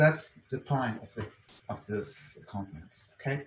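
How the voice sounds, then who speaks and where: Speaking very slowly with a strong German accent, a man sounds somewhat breathy and shows ordinary pitch variation. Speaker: university lecturer. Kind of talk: conference talk. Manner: halting, many fillers and restarts.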